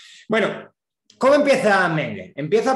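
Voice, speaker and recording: A man is speaking with audible room echo. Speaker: economics professor. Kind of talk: lecture. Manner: fast.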